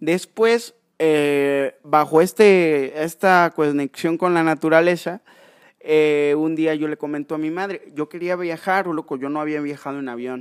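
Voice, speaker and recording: Here is an ordinary speaking voice from a man with a fairly high pitch, fairly even intonation and a fairly slow pace. The recording is very clean with a silent background, and the sound is dry and close with no echo. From Mexico, Córdoba, Veracruz. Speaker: wildlife rescuer and biologist. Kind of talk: casual chat. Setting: in person at the guest's sanctuary.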